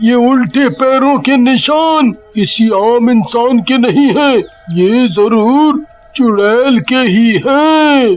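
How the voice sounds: In a cartoonish character voice, a man talks very slowly at an extremely high pitch with lively intonation.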